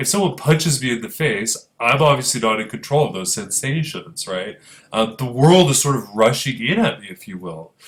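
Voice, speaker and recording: This man talks at a moderate pace with vocal fry, his pitch swinging very widely. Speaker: philosophy professor. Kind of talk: lecture. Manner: halting.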